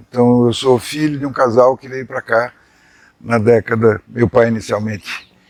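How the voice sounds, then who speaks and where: With a medium pitch and ordinary pitch variation, a man talks at a moderate pace. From Brazil, São Paulo. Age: 60s. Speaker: journalist. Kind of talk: life story interview.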